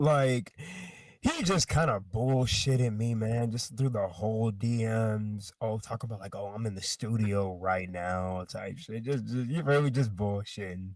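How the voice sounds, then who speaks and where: An American-accented man with a plain, everyday voice, medium pitch, ordinary pitch variation and a fairly slow pace, very cleanly recorded with a silent background. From US South. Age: 20s. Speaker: rapper. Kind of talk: casual interview.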